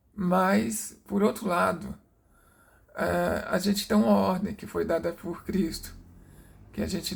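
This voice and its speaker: A soft-spoken man at a very slow pace. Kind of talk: personal testimony. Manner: halting, many fillers.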